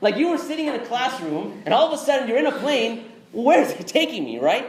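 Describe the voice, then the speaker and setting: An extremely high-pitched man's voice with an American accent, very wide pitch swings, and a fairly quick pace, amid audible room echo and noticeable background noise. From Texas. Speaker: Islamic speaker. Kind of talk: interactive lecture. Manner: conversational.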